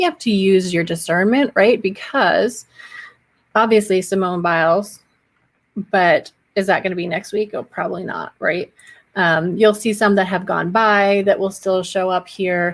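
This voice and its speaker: A woman's normal speaking voice at a medium pitch, with fairly even intonation and a fairly slow pace. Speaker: social media marketing educator. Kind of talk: live stream tutorial. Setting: solo live stream. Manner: casual, chatty.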